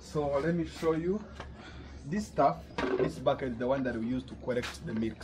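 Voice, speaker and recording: A man talking at a fairly quick pace, with clear music playing behind him. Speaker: vlogger. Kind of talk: casual vlog chat.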